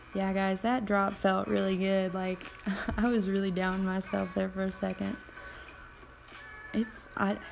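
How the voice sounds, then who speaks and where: Against music in the background, a woman talks at a moderate pace with medium pitch. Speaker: game streamer. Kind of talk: live gameplay commentary. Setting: live stream.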